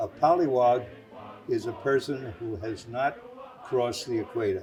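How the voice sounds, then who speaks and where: A man speaks at a moderate pace, and noticeable background noise can be heard behind him. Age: 90s. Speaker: WWII navy veteran. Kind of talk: interview testimony. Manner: halting, many fillers.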